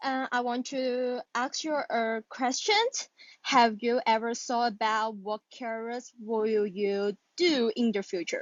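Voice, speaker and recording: Very slow woman's voice, fairly high-pitched, in a Chinese accent, with ordinary pitch variation. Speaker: caller practising English. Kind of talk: casual conversation practice. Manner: hesitant.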